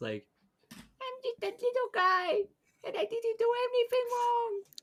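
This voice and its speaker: An extremely high-pitched put-on character voice at a fairly slow pace. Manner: innocent, pleading.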